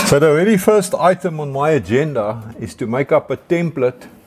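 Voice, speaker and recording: Male speech at a moderate pace over light background noise. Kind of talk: tutorial. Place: workshop.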